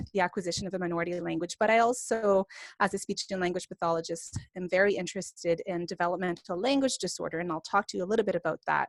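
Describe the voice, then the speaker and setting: A woman with a Franco-Ontarian accent speaks at a very fast pace and medium pitch, with ordinary pitch variation, in a dry, close sound with no echo on a very clean recording with a silent background. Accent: Franco-Ontarian Canadian. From northern Ontario, Canada (francophone). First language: French. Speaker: professor and speech-language pathologist. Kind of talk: lecture.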